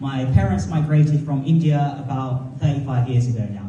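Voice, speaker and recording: A man with a British accent speaks at a moderate pace in a fairly high pitch, with ordinary pitch variation. The room echo is audible, and background noise is noticeable. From North London, England. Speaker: comedian. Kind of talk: stand-up.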